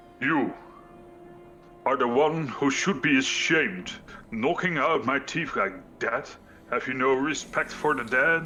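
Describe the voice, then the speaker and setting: Loud and fairly slow, a put-on character voice comes through with long, frequent pauses over clear background noise. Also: man, fairly high pitch for a man. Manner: loud, projected, indignant.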